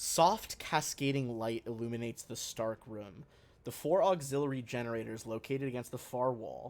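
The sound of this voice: An unforced reading voice is heard here.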